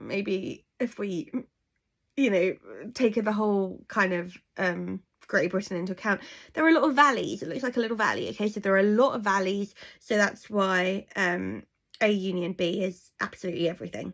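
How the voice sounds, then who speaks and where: A woman's medium-pitched voice with an English accent and ordinary pitch variation, in a very clean recording with a silent background. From England. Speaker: maths teacher. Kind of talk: tutorial. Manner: fast.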